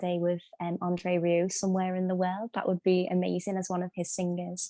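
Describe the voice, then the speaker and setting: A woman's medium-pitched, dark, mellow voice in a Scouse accent at a moderate pace, on a very clean recording with a silent background and a dry, close sound with no echo. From Liverpool, England. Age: 20s. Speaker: singer. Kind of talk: interview. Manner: halting.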